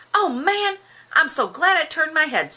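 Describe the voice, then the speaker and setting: A squeaky, put-on character voice from a woman rises to an extremely high pitch. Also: moderate pace. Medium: read story.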